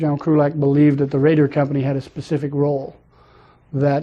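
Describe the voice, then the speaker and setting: The speaker is a man with an American accent. His pitch is fairly high. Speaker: Vietnam war veteran, former Marine rifleman. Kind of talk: interview answer.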